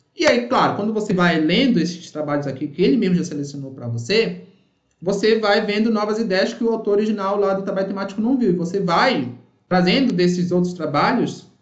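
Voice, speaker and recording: Amid audible room echo, a man talks at a fairly quick pace and high pitch with lively intonation. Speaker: university professor. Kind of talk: online workshop lecture. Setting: live online session with chat. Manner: fast.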